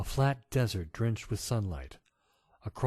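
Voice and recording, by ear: Someone reads aloud in a natural voice, the intonation lively. Nothing else can be heard behind it.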